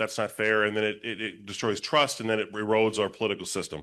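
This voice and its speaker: Against a quiet background, a man speaks at a fairly low pitch with a bright, sharp tone. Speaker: political candidate. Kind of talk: candidate forum answer. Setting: town hall forum with audience. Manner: fast.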